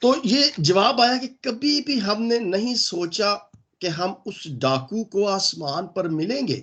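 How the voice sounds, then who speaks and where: Here a man talks at a very slow pace with a high pitch. His voice makes very wide pitch swings. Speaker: pastor. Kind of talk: sermon.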